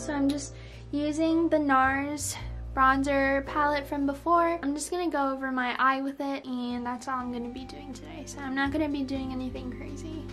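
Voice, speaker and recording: Music plays behind a woman whose high voice stays monotone and flat. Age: young. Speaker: beauty vlogger. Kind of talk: casual talk to camera. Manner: casual, chatty. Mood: relaxed, chatty. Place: home room. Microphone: phone near.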